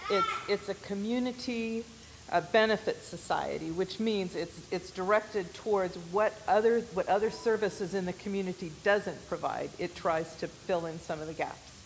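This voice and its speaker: This woman has an American accent and a medium pitch. Her pace is moderate and her intonation fairly even. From US West, Oregon. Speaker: missionary. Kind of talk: church presentation.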